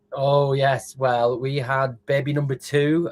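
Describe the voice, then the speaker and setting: This is a man speaking. He talks with a northern English accent. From northern England, Lancashire. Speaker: food tech entrepreneur. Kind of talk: interview. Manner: halting, many fillers.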